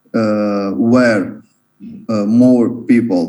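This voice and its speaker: A man with an Italian accent and a dark, mellow tone, with audible room echo. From Italy. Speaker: English learner. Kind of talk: language lesson practice. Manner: halting.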